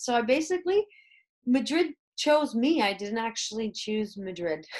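Against a quiet background, a woman with a Canadian accent talks at a moderate pace in a high pitch. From Canada. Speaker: comedian and educator. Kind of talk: interview.

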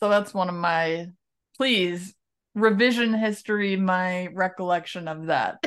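This woman has a medium-pitched, normal speaking voice with an American accent. She talks at a fairly slow pace with fairly even intonation. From New York. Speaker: podcast host. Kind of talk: casual chat.

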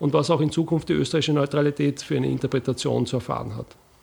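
Very fast speech with vocal fry and an Austrian accent. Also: man. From Austria, Lower Austria (Wiener Neustadt, Bucklige Welt). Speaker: military officer and analyst. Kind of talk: interview.

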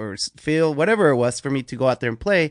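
Speaking with a Spanish accent, a man talks at a fairly quick pace with lively intonation. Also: quiet background. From Mexico, moved to Las Vegas at 13. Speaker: BMX rider and TV personality. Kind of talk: casual interview. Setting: video call.

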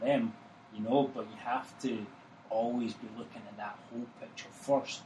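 With a Glasgow accent, a man talks at a fairly slow pace. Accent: Scottish (Glaswegian). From Glasgow, Scotland. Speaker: soccer coach. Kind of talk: casual interview chat.

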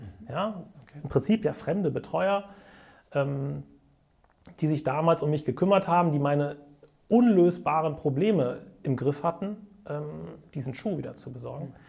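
Speaking in a fairly high pitch, a man uses lively intonation and big swings in loudness, with long, frequent pauses. His tone is dark and mellow, and somewhat breathy. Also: moderate pace. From Bonn area, Swabian upbringing. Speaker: entrepreneur, event agency owner. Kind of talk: interview storytelling.

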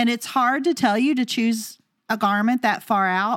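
A woman's fairly high, animated voice with an American accent, at a fairly slow pace, on a very clean recording with a silent background. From rural US. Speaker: wedding professional and podcast co-host. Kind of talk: casual chat.

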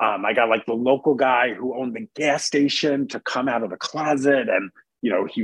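In an ordinary speaking voice, a man talks at medium pitch. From New York City, Queens. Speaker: entertainment journalist. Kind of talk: interview. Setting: remote call.

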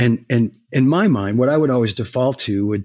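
A man talks at a fairly slow pace and a medium pitch, in a plain, everyday voice. The background is quiet. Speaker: former drum industry executive. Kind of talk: interview.

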